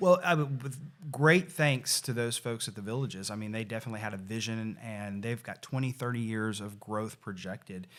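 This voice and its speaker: With a Tennessee accent, a man talks with hardly any pauses and ordinary pitch variation. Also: medium pitch for a man. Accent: US Southern (Tennessee). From Tennessee (Nashville area). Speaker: real estate association executive. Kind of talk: podcast interview.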